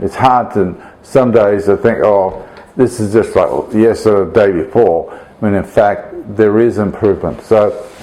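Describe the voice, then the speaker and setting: Over noticeable background noise, a man talks at a fairly slow pace with a fairly low pitch. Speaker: priest recovering from a stroke. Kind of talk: video blog update. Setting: at home during Christmas dinner with friends. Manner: halting, many fillers.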